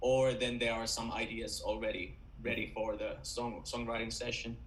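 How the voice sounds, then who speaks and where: A man talks at a moderate pace with a Finnish accent. The room echo is audible. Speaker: rock band vocalist. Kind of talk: interview. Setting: video call.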